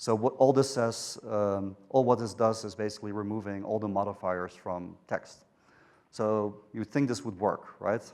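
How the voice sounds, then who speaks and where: With a Dutch accent, a man speaks at a fairly low pitch and keeps his intonation fairly even. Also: very clean recording, silent background. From Netherlands. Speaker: software engineer. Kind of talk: conference talk. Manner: hesitant, many fillers.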